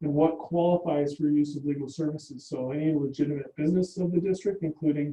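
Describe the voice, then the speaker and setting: Somewhat breathy, a man speaks fairly quickly in a flat monotone. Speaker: presenter at a public board meeting. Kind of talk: meeting presentation. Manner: fast.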